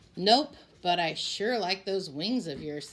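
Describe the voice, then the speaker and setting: A put-on character voice, female-sounding, at a middle pitch and a fairly slow pace. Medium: read story.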